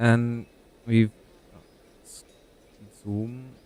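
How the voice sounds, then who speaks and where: A soft-spoken man's voice at a medium pitch. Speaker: video game streamer. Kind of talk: gaming livestream commentary. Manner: halting.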